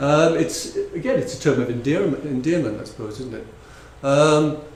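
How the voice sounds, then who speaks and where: A fairly high-pitched man with lively intonation, big swings in loudness and a moderate pace, amid audible room echo and noticeable background noise. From northeast England, North Shields near Newcastle. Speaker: conference speaker on translation. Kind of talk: conference talk. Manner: halting, many fillers and repetitions.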